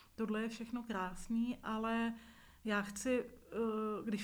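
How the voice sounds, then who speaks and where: Audible room echo surrounds a woman speaking very slowly. Her fairly high voice stays monotone and flat. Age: 40s. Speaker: visually impaired media worker, nonprofit leader. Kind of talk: interview testimony.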